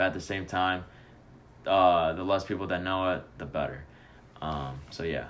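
A man with an American accent speaks at a very deep, low pitch and a moderate pace, with fairly even intonation, long, frequent pauses and audible room echo. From Chicago. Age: 20s. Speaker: college student. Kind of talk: casual chat.

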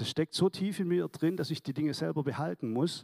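Speaking at a fairly quick pace with vocal fry and very wide pitch swings, a man is heard on a very clean recording with a silent background. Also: dry, close sound with no echo. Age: 60s. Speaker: church member giving testimony. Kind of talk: testimony. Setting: church service.

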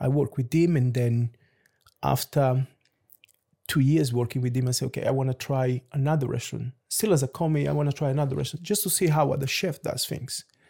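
A man speaks with a dark, mellow tone and ordinary pitch variation. The sound is dry and close with no echo, and his voice is somewhat breathy. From Lisbon, Portugal (born in Angola). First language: Portuguese. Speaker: head chef. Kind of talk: casual interview chat.

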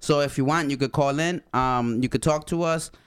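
The speaker has a Spanish accent and an animated tone, with ordinary pitch variation at a moderate pace. The recording is very clean, the background silent. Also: man. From Honduras. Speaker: podcast co-host. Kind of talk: casual chat.

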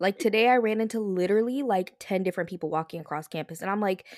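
Speaking at a very fast pace, a woman uses lively intonation at a medium pitch. The recording is very clean, with a silent background. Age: 20s. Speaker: podcast co-host and college student. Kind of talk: casual chat.

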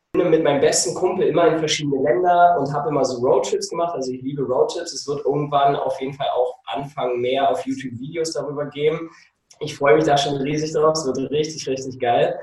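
A man talks fairly quickly. His pitch is fairly high. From Germany. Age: 30s. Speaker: nutrition coach and photographer. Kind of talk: casual interview. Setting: video call. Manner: animated. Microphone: occasionally distorted.

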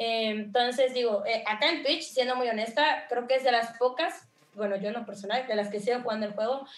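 Talking at a fairly quick pace with a Veracruz accent, a woman uses a fairly high pitch with ordinary pitch variation. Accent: Veracruz Mexican Spanish. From Mexico, Veracruz. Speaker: streamer and content creator. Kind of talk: interview.

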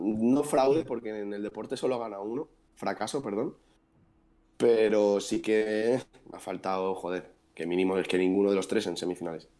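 This man's voice sits fairly low, with a dark, mellow tone and ordinary pitch variation at a moderate pace. The recording is very clean, with a silent background. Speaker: basketball podcast co-host. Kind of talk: casual chat. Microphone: new microphone with interference.

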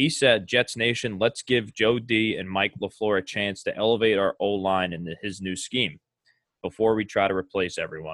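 With a normal speaking voice, a man talks at a moderate pace and fairly low pitch, with ordinary pitch variation. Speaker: podcast host. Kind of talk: casual sports podcast chat.

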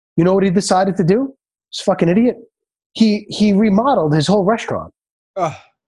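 A high-pitched man with a New York accent and a dark, mellow tone, at a very fast pace. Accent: New York (Bronx). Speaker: chiropractor and restaurateur. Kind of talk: casual interview.

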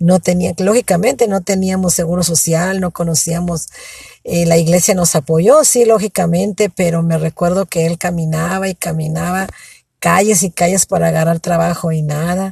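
A somewhat breathy woman with a fairly low pitch and a dark, mellow tone speaks at a fairly slow pace with fairly even intonation, recorded dry and close with no echo. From Mexico (Michoacán and Ensenada). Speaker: storyteller. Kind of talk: personal testimony. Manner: halting.

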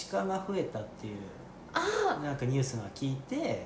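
A man's fairly high pitch at a fairly slow pace, with very wide pitch swings amid noticeable background noise and audible room echo. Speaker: coffee roaster and podcast host. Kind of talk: casual interview chat. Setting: on location in a shop.

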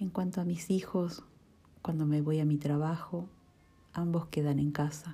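A woman with a somewhat breathy, dark, mellow tone speaks fairly slowly in a flat monotone, with very even loudness and long, frequent pauses. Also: fairly low pitch for a woman. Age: 40s. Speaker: office employee and mother. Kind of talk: reading aloud. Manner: formal.

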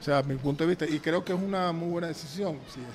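Talking very fast, a man keeps his intonation fairly even. His pitch is fairly high. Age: 60s. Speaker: football coach. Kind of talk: casual chat. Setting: restaurant. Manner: halting.

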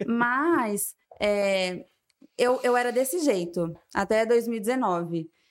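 With an unremarkable speaking voice, a woman talks in a fairly high pitch and lively intonation. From São José do Rio Preto, São Paulo state. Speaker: business co-founder. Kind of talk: casual interview chat.

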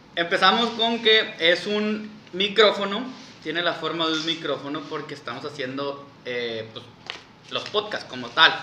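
A man talks at a fairly slow pace in a high pitch with lively intonation and big swings in loudness, over noticeable background noise. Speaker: podcast co-host. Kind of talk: casual chat.

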